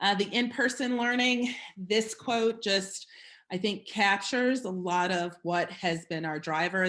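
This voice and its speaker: A woman at a fairly slow pace with ordinary pitch variation, a normal speaking voice, and a quiet background. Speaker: school district chief executive. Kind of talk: presentation with slides. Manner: many filler words.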